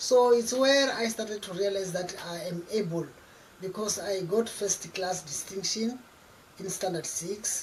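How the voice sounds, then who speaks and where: Noticeable background noise sits behind a woman's voice. She speaks at a fairly slow pace with a medium pitch and ordinary pitch variation. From South Africa, Limpopo. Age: 60s. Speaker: community leader. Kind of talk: interview.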